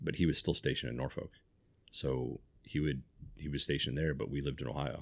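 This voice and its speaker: A man with an American accent speaks very fast in a very deep, low voice with vocal fry. His intonation is monotone and flat, and his pauses are long and frequent. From US Midwest / North Carolina (military family). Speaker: community podcast host. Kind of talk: casual interview.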